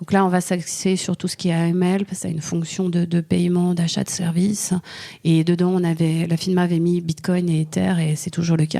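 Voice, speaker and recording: A woman speaks in a fairly low pitch with a dark, mellow tone and a slight Swiss French accent. Her intonation is monotone and flat. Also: moderate pace. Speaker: lawyer. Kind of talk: interview. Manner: halting, many fillers.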